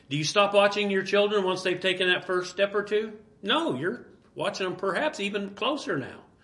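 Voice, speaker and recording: A man with a high voice and ordinary pitch variation talks at a moderate pace, noticeable background noise behind him. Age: 60s. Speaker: pastor. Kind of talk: sermon. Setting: church.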